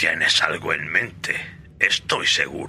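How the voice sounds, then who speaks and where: A raspy, put-on character voice from a man at a fairly slow pace, with clear background noise. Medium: audio drama. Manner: calm, indulgent, chuckling.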